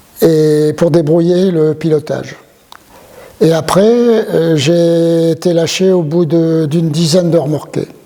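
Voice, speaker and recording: Over noticeable background noise, a man speaks at a high pitch. His intonation is fairly even. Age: 70s. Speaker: retired airline pilot. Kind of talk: interview testimony. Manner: hesitant, many fillers.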